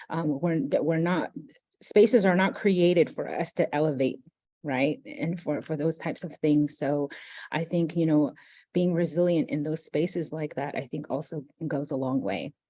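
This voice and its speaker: Speaking with a Navajo Nation accent, a woman uses a very deep, low pitch and a dark, mellow tone, with ordinary pitch variation at a moderate pace. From Navajo Nation, US Southwest. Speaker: university operations director. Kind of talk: interview reflection.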